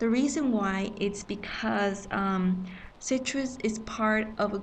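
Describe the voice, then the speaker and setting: A somewhat breathy woman's voice. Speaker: manga scanlation editor. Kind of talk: screen-recorded software tutorial. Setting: public facility. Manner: whispered, quiet.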